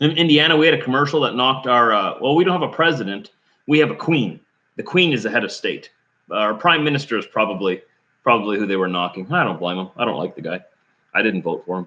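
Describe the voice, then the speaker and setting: Against a quiet background, a man's bright, sharp tone sits at medium pitch and swings very widely. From Canada, southeast Manitoba. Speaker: trucker vlogger. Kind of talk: live stream chat with viewers.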